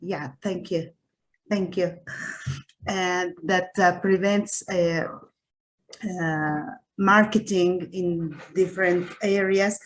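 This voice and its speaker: Speaking very slowly with long, frequent pauses, a woman with a Spanish accent keeps a medium pitch and a monotone, flat intonation. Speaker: researcher panelist. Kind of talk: panel discussion. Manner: hesitant, many fillers.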